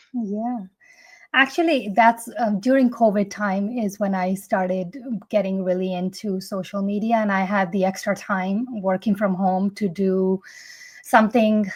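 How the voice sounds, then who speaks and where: A woman with a non-native accent talks at a medium pitch and fairly slow pace. Her voice is somewhat breathy, with fairly even intonation. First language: not English. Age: 40s. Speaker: fitness content creator. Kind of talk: interview answers. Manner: some hesitations and self-corrections.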